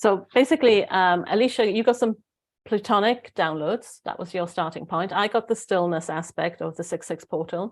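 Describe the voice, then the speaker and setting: A woman speaks with a Welsh accent at medium pitch and a moderate pace. Her pitch varies in an ordinary way, and the background is quiet. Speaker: spiritual guide. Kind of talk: casual chat. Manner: halting.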